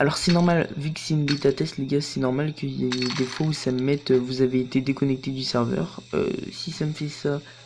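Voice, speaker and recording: Noticeable background noise is present throughout. The speech moves fairly quickly. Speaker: gaming youtuber. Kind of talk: let's play commentary. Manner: casual, hesitant with many fillers.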